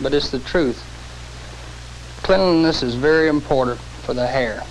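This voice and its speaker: Over noticeable background noise, a man with a fairly high pitch and ordinary pitch variation talks at a moderate pace. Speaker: hair stylist. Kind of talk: scripted dialogue in an instructional film. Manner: soft, soothing.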